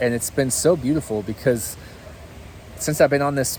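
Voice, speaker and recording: Noticeable background noise runs under this clip. A man talks at a moderate pace with ordinary pitch variation. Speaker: faith vlogger. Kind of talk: casual vlog monologue. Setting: outdoors walking at cabin. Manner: hesitant, many fillers. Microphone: cheap equipment.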